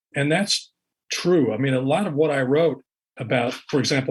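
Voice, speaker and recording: At a fairly quick pace, a man with a fairly high pitch speaks using ordinary pitch variation. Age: 60s. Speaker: author and investigative reporter. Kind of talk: interview. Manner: halting, repeats words.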